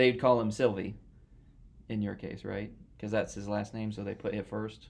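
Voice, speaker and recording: A fairly low-pitched man with an American accent, monotone and flat in intonation, at a moderate pace. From United States. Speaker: podcast host, math graduate student. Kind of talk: casual interview chat. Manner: casual.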